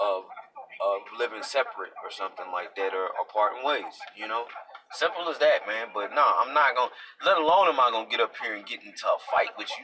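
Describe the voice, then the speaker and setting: Background noise is noticeable throughout. The man's speech moves fairly quickly. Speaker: vlogger. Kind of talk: live video monologue. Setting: live stream. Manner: halting, repetitive.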